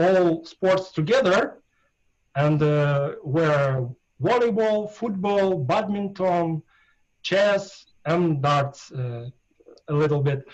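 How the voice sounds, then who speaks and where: A man with a Russian accent speaks at a very slow pace. His pitch is high and his intonation lively. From Russia, Ural region. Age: 40s. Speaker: darts player. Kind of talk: interview. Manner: halting, many hesitations.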